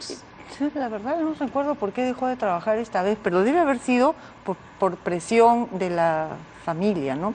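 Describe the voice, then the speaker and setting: A woman speaks at a moderate pace in a fairly high voice, her pitch swinging very widely. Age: 70s. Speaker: mother of a TV presenter. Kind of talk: TV interview. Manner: halting.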